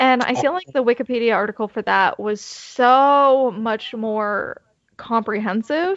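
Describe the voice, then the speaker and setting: Using a normal speaking voice, a woman talks at a fairly slow pace with a fairly high pitch and lively intonation. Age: 20s. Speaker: podcast host. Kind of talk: casual chat.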